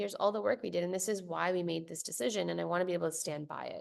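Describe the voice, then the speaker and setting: There is vocal fry in this woman's voice. She talks at a very fast pace. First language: Spanish. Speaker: venture capital investor. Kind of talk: interview conversation.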